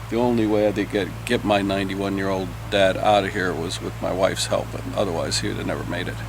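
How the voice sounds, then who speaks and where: With an American accent, a man talks at a very fast pace with hardly any pauses, his fairly low voice making very wide pitch swings. Audible room echo and noticeable background noise fill the recording. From California. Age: 70s. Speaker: hurricane survivor. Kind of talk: interview.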